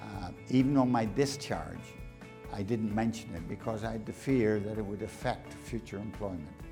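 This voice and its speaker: Over music in the background, a man with a fairly low voice talks at a moderate pace with ordinary pitch variation. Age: 70s. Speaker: army veteran. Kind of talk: interview answer.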